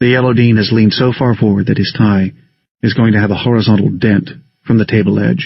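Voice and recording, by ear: Someone is reading aloud in a natural voice with fairly even intonation over a quiet background.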